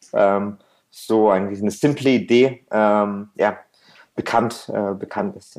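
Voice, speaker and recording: A man's dark, mellow voice at medium pitch, with fairly even intonation. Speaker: restaurant entrepreneur and gastronomy consultant. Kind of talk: interview conversation. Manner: frequent fillers and hesitations.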